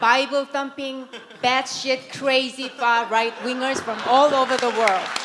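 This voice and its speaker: Amid noticeable background noise and audible room echo, a woman with a Korean accent speaks at a very slow pace in a high pitch with monotone, flat intonation. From South Korea. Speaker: writer and conference speaker. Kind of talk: conference talk.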